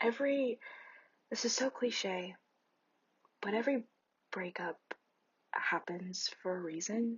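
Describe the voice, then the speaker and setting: A soft-spoken woman with a fairly high pitch and a gentle tone talks at a very slow pace, somewhat breathy, with lively intonation and long, frequent pauses. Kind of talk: ASMR comforting roleplay, talking to a friend. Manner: soft-spoken, gentle, caring.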